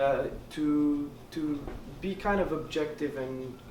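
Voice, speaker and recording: With a Quebec accent, a man speaks at a fairly high pitch with ordinary pitch variation, amid audible room echo and noticeable background noise. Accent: Québécois French accent in English. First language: French. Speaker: student election candidate. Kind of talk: debate answer. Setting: hall with audience. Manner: halting.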